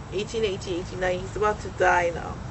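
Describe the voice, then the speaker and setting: Audible room echo and noticeable background noise surround a woman speaking at medium pitch. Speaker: speaker on Hawaiian history and astronomy. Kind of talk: forum talk with audience discussion. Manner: animated.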